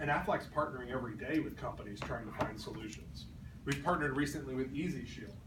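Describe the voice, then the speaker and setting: Speaking at a very fast pace with ordinary pitch variation, a man is heard through audible room echo and noticeable background noise. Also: medium pitch for a man. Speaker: sales trainer. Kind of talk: training talk.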